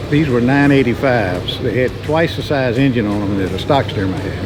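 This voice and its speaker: A man at medium pitch with ordinary pitch variation and a fairly quick pace, audible room echo, and music in the background. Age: 70s. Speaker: aerobatic pilot. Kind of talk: interview. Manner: casual, conversational.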